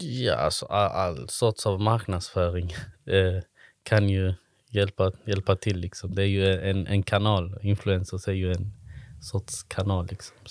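In a very clean, dry and close recording with a silent background and no echo, a man speaks at a fairly slow pace with a fairly low pitch and fairly even intonation. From Sweden, Malmö. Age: 30s. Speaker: social entrepreneur, event organiser. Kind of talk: interview. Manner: halting, many fillers.

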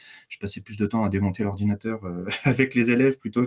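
Very fast speech with fairly even intonation in a dry, close sound with no echo. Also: man. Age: 40s. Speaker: digital training consultant. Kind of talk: casual interview. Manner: hesitant, many fillers.

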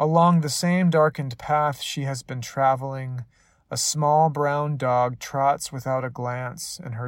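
A man talks at a fairly slow pace in an unremarkable speaking voice. His pitch is medium and his intonation fairly even. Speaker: poet. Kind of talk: poetry reading, dramatic storytelling narration. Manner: hushed, slow, measured, eerie and hypnotic bedtime-story cadence.

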